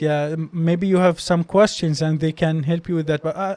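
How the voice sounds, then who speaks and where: Speaking at a moderate pace with fairly even intonation, a man with a high pitch and an Arabic accent is heard in a dry, close sound with no echo. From Palestine, West Bank. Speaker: doctor and medical graduate student. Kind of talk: interview conversation. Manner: halting, many repeated words.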